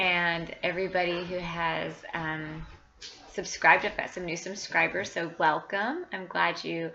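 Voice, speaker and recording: A woman's fairly low, bright and sharp voice with vocal fry, monotone, flat intonation and a fairly slow pace. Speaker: cross-stitch vlogger. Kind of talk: casual chat. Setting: home. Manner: hesitant, many fillers.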